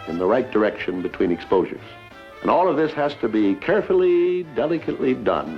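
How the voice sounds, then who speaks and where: Fairly slow delivery from a man, music playing behind him. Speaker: TV host. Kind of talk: TV program host introduction. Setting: 1961 TV broadcast. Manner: folksy, friendly.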